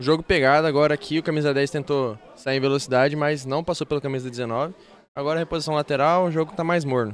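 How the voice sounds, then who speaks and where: This man talks at a very fast pace with a Brazilian accent. His pitch is fairly high and his intonation fairly even. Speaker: football commentator. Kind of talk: live commentary.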